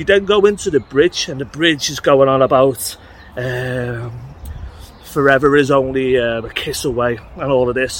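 Over noticeable background noise, a man speaks at a moderate pace and medium pitch, with ordinary pitch variation and big swings in loudness. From England. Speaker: music podcast host. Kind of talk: casual vlog monologue. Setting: outdoors walking. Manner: rambling, conversational.

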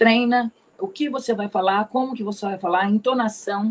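A woman's medium-pitched, ordinary speaking voice at a moderate pace, with fairly even intonation. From Ribeirão Preto, São Paulo state, Brazil. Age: 40s. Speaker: pharmacist and pharmaceutical sales rep. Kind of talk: career testimony in interview. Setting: online live stream.

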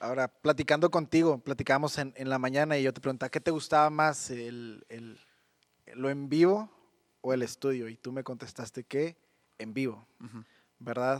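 Recorded very clean with a silent background and a dry, close sound with no echo, a man with a Mexican accent speaks with big swings in loudness and ordinary pitch variation. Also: medium pitch for a man, moderate pace. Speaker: youth podcast host. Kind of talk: casual interview.

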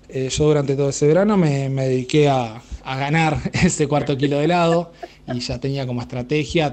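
The speaker is a man with a moderate pace. Pitch variation stays ordinary. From Argentina, Pehuajó, Buenos Aires province. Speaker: radio listener sending a voice message. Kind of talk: recorded anecdote for a radio show. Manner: halting, with many fillers.

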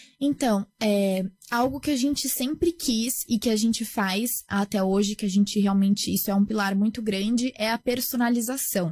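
A woman with a fairly high pitch and a somewhat breathy voice speaks at a moderate pace with hardly any pauses, ordinary pitch variation and very even loudness. The sound is dry and close with no echo, and the recording is very clean with a silent background. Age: 20s. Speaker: startup founder. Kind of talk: interview.

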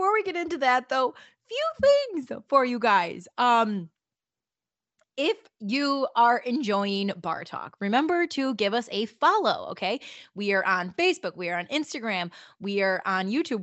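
A woman with a high pitch, very wide pitch swings and a fairly slow pace. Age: 20s. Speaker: podcast host. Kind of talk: casual monologue.

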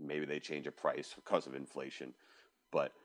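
This man has an American accent and delivers his words at a fairly quick clip. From New York. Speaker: designer. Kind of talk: casual chat.

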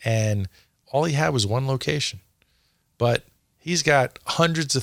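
This man has an unremarkable speaking voice with an American accent. His pitch varies in an ordinary way. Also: very clean recording, silent background. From US Northeast. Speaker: franchising consultant. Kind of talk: casual interview. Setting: studio.

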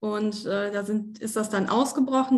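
A woman's somewhat breathy, fairly high voice moves at a moderate pace with fairly even intonation. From Germany, Osnabrück (Lower Saxony). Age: 20s. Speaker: former coaching client. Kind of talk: interview testimony. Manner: hesitant, many fillers.

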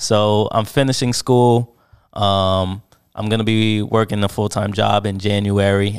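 In an American accent, a man with a fairly low voice speaks in a flat monotone on a very clean recording with a silent background. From New Jersey. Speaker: photographer. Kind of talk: casual chat. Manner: halting.

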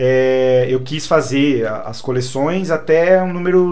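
A man talks with ordinary pitch variation, and the room echo is audible. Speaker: English teacher and collector. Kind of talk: casual chat.

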